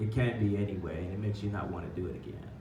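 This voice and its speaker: A man talks at a very fast pace in a fairly low pitch, with noticeable background noise behind him. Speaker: poet and teaching artist. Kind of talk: workshop teaching talk. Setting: live venue with microphone and PA. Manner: casual, conversational.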